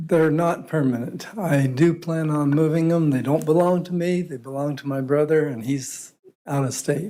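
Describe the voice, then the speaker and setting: A man with a fairly high voice talks at a moderate pace with fairly even intonation, and the room echo is audible. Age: 70s. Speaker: property owner addressing city council. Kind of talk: public meeting testimony. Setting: city council meeting.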